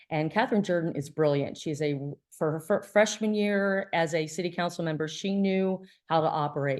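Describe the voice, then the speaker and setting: Against a quiet background, a woman speaks at a moderate pace. Her pitch is fairly low with ordinary pitch variation. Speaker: environmental activist presenter. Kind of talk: presentation. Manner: casual, filler words.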